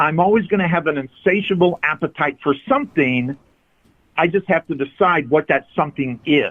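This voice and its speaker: With an ordinary speaking voice, a man talks at a moderate pace in a fairly high pitch, using ordinary pitch variation. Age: 60s. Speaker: addiction recovery coach. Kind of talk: interview. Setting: phone call.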